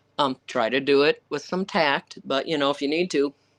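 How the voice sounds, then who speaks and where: At a moderate pace, a woman speaks with a very deep, low pitch, the sound dry and close with no echo over a quiet background. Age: 60s. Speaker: author and Arctic camp owner. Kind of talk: live Q&A. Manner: animated.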